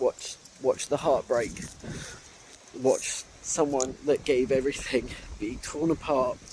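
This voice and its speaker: Against noticeable background noise, a man with a fairly high pitch talks at a very slow pace with fairly even intonation. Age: 30s. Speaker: vlogger. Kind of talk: emotional personal vlog. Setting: outdoors in a park. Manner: halting.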